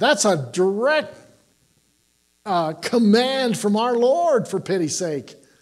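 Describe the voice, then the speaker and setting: Animated and high-pitched, a man talks at a fairly slow pace with very wide pitch swings. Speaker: pastor. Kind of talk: sermon. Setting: church.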